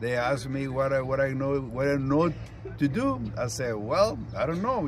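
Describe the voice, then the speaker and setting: A man with a Spanish accent and a fairly high pitch speaks at a moderate pace with ordinary pitch variation, amid noticeable background noise and audible room echo. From Mexico, rural ranch town. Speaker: retired sanitation worker and union shop steward. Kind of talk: interview. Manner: halting.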